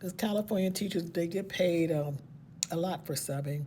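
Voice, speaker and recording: Somewhat breathy and dark, mellow in tone, a woman speaks at a moderate pace with a fairly low pitch and fairly even intonation. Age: 60s. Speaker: retiring special education teacher. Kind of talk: casual vlog monologue. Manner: conversational, with fillers.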